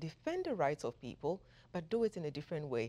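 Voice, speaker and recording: On a very clean recording with a silent background, a woman talks at a fairly quick pace with vocal fry. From Ghana. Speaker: political science professor. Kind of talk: interview.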